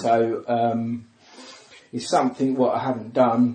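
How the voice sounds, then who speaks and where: Here a man speaks with a southern English accent at a moderate pace. His medium-pitched voice is monotone and flat. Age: 40s. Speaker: comedian. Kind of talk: casual chat.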